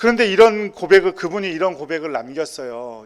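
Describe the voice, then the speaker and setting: A man speaks with lively intonation and a high pitch. His pace is moderate. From South Korea, Busan then Incheon. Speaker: pastor. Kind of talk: sermon.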